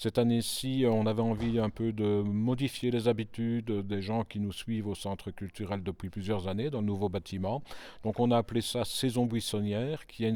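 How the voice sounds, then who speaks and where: On a very clean recording with a silent background, a man speaks at a moderate pace with a dark, mellow tone, a medium pitch and fairly even intonation. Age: 60s. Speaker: cultural centre director. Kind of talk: interview.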